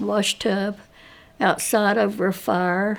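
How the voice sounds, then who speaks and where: In a very clean recording with a silent background, a woman with an Appalachian accent speaks at a very slow pace in a monotone, flat delivery. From Appalachia, Ashe County, North Carolina. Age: 80s+. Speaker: oral history interviewee. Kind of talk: oral history interview.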